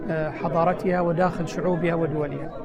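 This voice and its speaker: Crowd noise fills the background and the room echo is audible. A man speaks in a high pitch. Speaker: government minister. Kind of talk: interview. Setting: UN headquarters, New York. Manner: formal.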